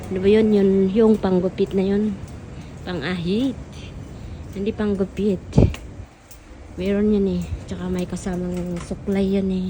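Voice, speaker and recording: Long, frequent pauses break up speech at a fairly slow pace in a monotone, flat intonation. Noticeable background noise is present. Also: woman, medium pitch for a woman. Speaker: overseas domestic worker vlogger. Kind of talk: casual vlog. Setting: shopping mall. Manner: halting, searching for words.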